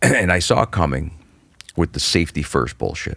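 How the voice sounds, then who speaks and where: A man is speaking. His voice has vocal fry. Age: 40s. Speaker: stand-up comedian. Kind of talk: casual chat. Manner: animated.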